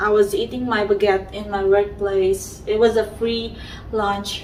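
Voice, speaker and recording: Amid noticeable background noise and audible room echo, a woman talks at a fairly slow pace with a medium pitch. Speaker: vlogger. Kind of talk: tutorial. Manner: halting, many fillers.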